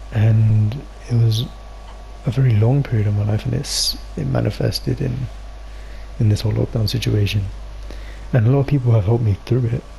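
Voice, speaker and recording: Amid noticeable background noise, a man speaks at a fairly quick pace broken by long, frequent pauses. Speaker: podcast co-host. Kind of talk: casual chat. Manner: halting.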